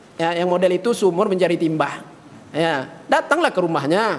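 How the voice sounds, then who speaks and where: A man speaks with a high pitch. Background noise is noticeable. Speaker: Islamic preacher. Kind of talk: sermon. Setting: mosque. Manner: animated.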